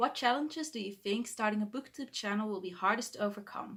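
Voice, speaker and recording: The speaker has a Dutch accent and a bright, sharp tone, talking at a fairly quick pace with ordinary pitch variation on a very clean recording with a silent background. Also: woman. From Netherlands. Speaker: book vlogger. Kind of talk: vlog monologue to camera. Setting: bedroom, talking to camera. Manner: halting, self-correcting.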